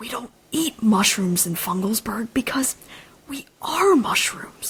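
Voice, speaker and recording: In a put-on character voice, someone whispers in a squeaky, timid tone at a fairly slow pace. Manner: timid, whispering.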